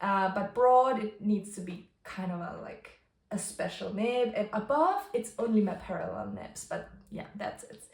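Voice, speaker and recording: A woman's medium-pitched voice with vocal fry and a Bavarian accent, at a fairly slow pace, ordinary pitch variation and big swings in loudness. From Bavaria, Germany. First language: German (Bavarian dialect). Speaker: stationery and journaling YouTuber. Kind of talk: casual tutorial vlog. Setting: home kitchen. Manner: casual, with frequent fillers and word searching.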